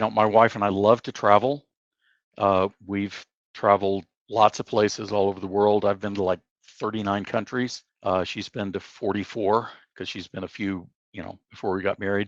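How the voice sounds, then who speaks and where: A man's fairly low, monotone, flat voice at a moderate pace, with big swings in loudness, a dry, close sound with no echo and a quiet background. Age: 70s. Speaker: veteran software engineer. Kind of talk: interview. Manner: hesitant, many fillers.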